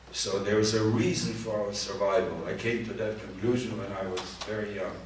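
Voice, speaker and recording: A man with a fairly low pitch talks at a moderate pace with fairly even intonation. Audible room echo and noticeable background noise fill the recording. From Poland (now Ukraine). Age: 80s+. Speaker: Holocaust survivor. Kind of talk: testimony with Q&A. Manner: halting.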